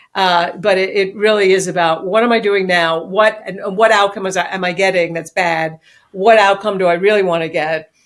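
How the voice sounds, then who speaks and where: A woman with a New York accent, medium pitch, fairly even intonation and hardly any pauses. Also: moderate pace. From New York City. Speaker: business executive and author. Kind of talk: interview.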